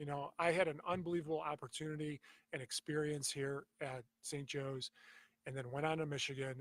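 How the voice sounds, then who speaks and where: In a dry, close sound with no echo, a man with a fairly high pitch and a somewhat breathy voice speaks at a fairly quick pace. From US, grew up in Croatian immigrant family. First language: Croatian. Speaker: football coach and athletic director, former NFL player. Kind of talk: interview. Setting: live on location at a school.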